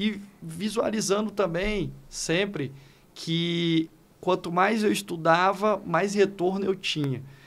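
His pitch is high and his intonation fairly even. The man talks at a very slow pace. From Northeast Brazil, Fortaleza (Ceará); Ceará, Brazil. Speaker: law professor and educator; law professor, educator. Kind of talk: podcast interview. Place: studio. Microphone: studio mic.

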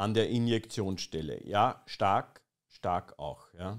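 Against a quiet background, a man speaks at a very slow pace in a serious tone. His pitch is fairly low. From Austria. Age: 20s. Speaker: streamer. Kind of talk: satirical live stream commentary. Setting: live stream with chat. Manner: ironic, mock-serious. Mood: ironic, mocking. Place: home room. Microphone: studio mic.

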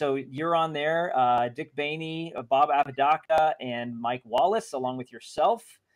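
Man at a moderate pace with ordinary pitch variation, against a quiet background. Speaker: interviewer and card channel host. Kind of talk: casual interview. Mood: friendly, upbeat. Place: home room. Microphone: video call.

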